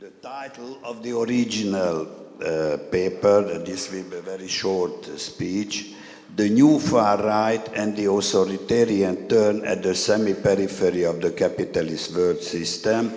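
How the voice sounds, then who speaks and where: A man with a Hungarian accent talks at a fairly slow pace in a fairly low pitch, his intonation lively and his loudness swinging widely, with audible echo in the room. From Hungary. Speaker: historian and activist. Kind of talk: conference speech read from text. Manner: halting.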